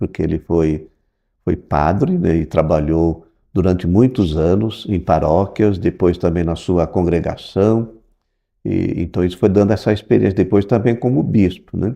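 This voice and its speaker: Against a quiet background, a man speaks fairly slowly in a very deep, low, dark and mellow voice with ordinary pitch variation. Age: 60s. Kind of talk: interview. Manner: hesitant, with fillers.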